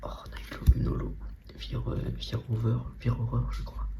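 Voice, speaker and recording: Soft-spoken and very deep in pitch, a man talks against noticeable background noise. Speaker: ASMR Pokémon card content creator. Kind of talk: casual talk to camera while opening trading card packs. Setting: home recording with no real microphone.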